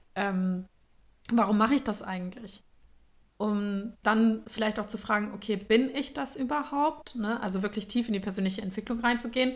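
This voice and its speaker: Moderate pace and a fairly high, somewhat breathy woman's voice. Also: ordinary pitch variation. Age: 20s. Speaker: podcast host, astrologer. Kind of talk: casual chat.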